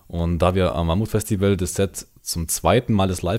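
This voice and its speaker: A man speaks in a plain, everyday voice. His pitch is fairly low. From Bavaria, Allgäu. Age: 20s. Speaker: metal band singer and guitarist. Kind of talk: casual chat. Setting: remote call over the internet.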